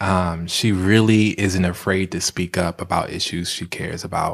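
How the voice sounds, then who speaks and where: Moderate pace and an American accent in a plain, everyday voice. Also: man. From Washington, DC. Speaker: filmmaker and photographer. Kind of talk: casual interview. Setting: studio.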